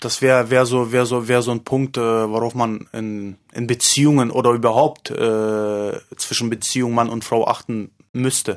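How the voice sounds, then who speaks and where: A man with a medium pitch talks at a moderate pace in monotone, flat intonation. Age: 30s. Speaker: male escort. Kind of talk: interview. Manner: halting.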